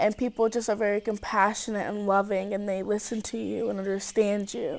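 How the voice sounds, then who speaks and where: A woman's medium-pitched voice in an American accent, at a moderate pace with fairly even intonation. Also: very clean recording, silent background. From Cedar Rapids, Iowa, US Midwest. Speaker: camp counselor, college student. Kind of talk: interview. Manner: hesitant, many fillers.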